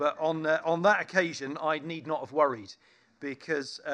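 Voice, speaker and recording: A man's fairly high-pitched, unremarkable speaking voice at a fairly slow pace, over a quiet background. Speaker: event host and vicar. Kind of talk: event introduction and interview. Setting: theatre with audience.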